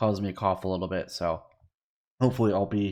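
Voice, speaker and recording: A man's very deep, low voice with vocal fry and lively intonation, on a very clean recording with a silent background. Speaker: gaming youtuber. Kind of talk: gameplay tutorial commentary. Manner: casual, rambling with fillers.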